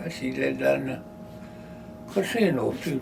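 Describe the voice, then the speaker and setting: This man's voice comes with noticeable background noise behind it. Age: old. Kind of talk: interview answer. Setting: office. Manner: casual, conversational.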